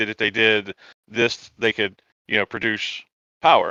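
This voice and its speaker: Against a quiet background, a man with a Southern US accent drawls at a medium pitch in a bright, sharp tone. The sound is dry and close with no echo. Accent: Southern American. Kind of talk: relaxed.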